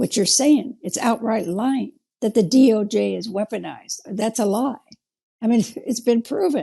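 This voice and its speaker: A woman with a fairly high pitch and a dark, mellow tone talks at a moderate pace, her pitch varying in an ordinary way. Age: 70s. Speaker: interview guest. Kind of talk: interview.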